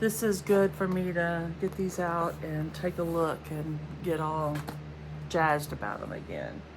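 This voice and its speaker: Audible room echo surrounds a woman's voice. She speaks at a fairly slow pace. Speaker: crafting video host. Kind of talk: casual show-and-tell vlog.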